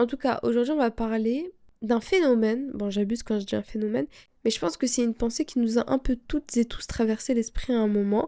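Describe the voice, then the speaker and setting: Ordinary variation runs through the pitch. The tone is dark and mellow. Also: woman. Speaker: podcast host. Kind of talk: casual self-help talk.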